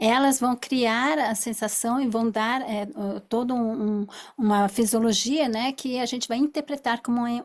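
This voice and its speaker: A woman with an unremarkable speaking voice speaks at a fairly slow pace, her pitch fairly high. Her intonation stays fairly even, and the recording is very clean with a silent background. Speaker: therapist. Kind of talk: lecture.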